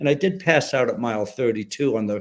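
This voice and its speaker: With an American accent, a man uses an ordinary speaking voice at a medium pitch and a fairly quick pace. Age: 60s. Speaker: retired special forces soldier. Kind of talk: interview.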